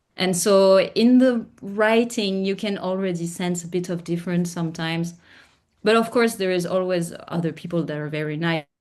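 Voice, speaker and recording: A woman's medium-pitched voice at a moderate pace, with ordinary pitch variation and a quiet background. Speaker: font engineer. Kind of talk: casual chat. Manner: halting.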